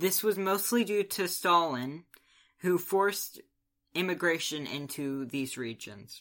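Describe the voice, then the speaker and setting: A man's high, bright, sharp voice with lively intonation at a fairly slow pace, on a very clean recording with a silent background. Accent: American. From US. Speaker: podcast co-host. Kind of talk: casual chat; scripted narration.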